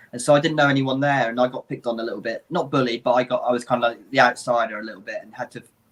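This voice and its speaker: Very fast male speech in an English accent, hardly any pauses, fairly even intonation and big swings in loudness. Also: medium pitch for a man. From England. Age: 30s. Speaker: livestream co-host. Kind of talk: casual chat.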